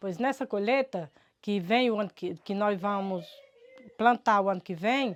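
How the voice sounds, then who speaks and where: A woman at a fairly slow pace with ordinary pitch variation, on a very clean recording with a silent background. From Brazil, rural Ceará backlands (Cariri). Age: 60s. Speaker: farmer. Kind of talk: testimony. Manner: halting, repeated words.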